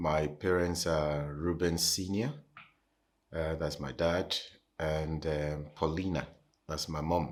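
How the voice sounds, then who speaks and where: A man with a Nigerian accent, very deep and low in pitch, speaking at a very slow pace with long, frequent pauses, a monotone, flat intonation, and a very clean recording against a silent background. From Nigeria (Lagos). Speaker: pastor. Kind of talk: interview, personal testimony. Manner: hesitant, many fillers.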